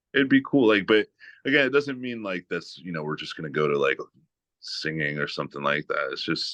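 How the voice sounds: A man talks at a fairly quick pace with extremely low pitch. His tone is fairly bright, and his intonation stays fairly even.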